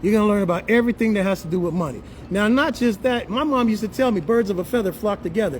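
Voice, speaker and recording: A man with a high pitch talks in an animated tone at a fairly quick pace. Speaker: livestream host and business promoter. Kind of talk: sales pitch. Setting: live stream. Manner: fast.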